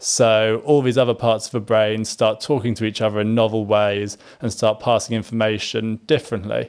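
Hardly any pauses break this man's moderate pace. His medium-pitched voice is monotone, with flat intonation. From Singapore and Malaysia. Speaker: inventor and app co-founder. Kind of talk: interview.

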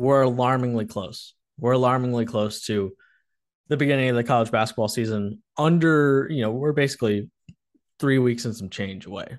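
This man has an unremarkable speaking voice with a medium pitch and ordinary pitch variation. He talks at a moderate pace against a quiet background. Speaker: podcast host. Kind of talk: casual sports chat.

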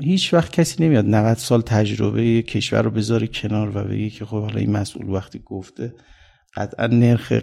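Moderate speed, a dark, mellow tone, and pitch that moves in an ordinary way. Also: man. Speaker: economist. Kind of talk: interview.

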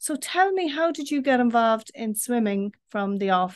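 A woman with an Irish accent, fairly high in pitch, over a quiet background. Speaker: podcast host and newspaper editor. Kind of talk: interview. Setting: video call.

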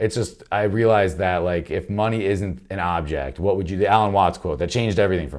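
Against a silent background in a very clean recording, a man talks at a very fast pace with vocal fry, a fairly low pitch and ordinary pitch variation. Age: 30s. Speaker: comedian. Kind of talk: casual chat.

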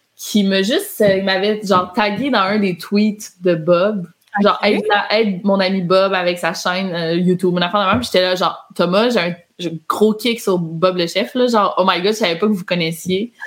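In an ordinary speaking voice, a woman talks at a moderate pace and medium pitch, with fairly even intonation and very even loudness. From Quebec. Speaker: YouTuber and author. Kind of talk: casual chat.

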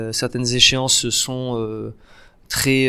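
A man talks at a very slow pace in a medium pitch with monotone, flat intonation. His tone is bright and sharp. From southern France, Nice. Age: 20s. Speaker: actor and comedian. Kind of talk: casual interview.

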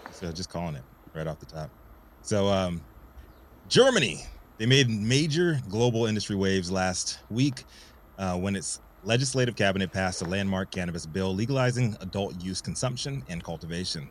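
A man with an ordinary speaking voice talks at a moderate pace, fairly low in pitch and lively in intonation. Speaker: cannabis news show co-host. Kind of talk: live news talk show.

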